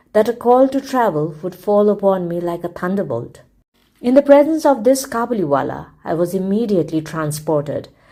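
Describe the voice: Lively intonation in plain reading aloud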